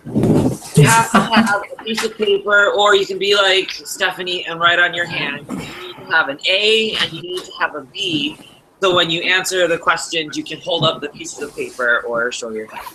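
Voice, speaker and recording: Speech runs at a moderate pace with hardly any pauses, over noticeable background noise. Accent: Wisconsin. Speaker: game show host. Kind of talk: hosting an online game show.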